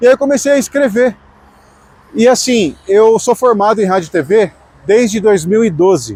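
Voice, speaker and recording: The loudness stays very even, and the pace is moderate. Pitch varies in an ordinary way, with long, frequent pauses. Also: man, high pitch for a man. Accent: Brazilian. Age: 30s. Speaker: radio announcer and vlogger. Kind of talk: personal vlog monologue. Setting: outdoors on the street. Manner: casual, with some false starts.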